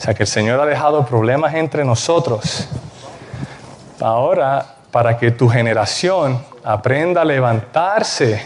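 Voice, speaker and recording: A man at a fairly slow pace, ordinary pitch variation, very even loudness, and noticeable background noise. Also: medium pitch for a man. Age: young. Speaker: preacher. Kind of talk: sermon.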